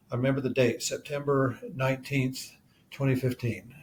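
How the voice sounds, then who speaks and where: A somewhat breathy man at medium pitch, with fairly even intonation. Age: 60s. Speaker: amateur road cyclist. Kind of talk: interview answer.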